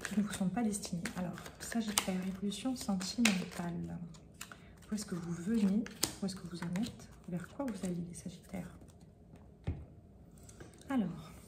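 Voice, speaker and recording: A soft-spoken woman at medium pitch, fairly slow with long, frequent pauses, fairly even intonation and big swings in loudness, amid audible room echo and noticeable background noise. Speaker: tarot reader. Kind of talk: tarot reading. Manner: hesitant, many fillers.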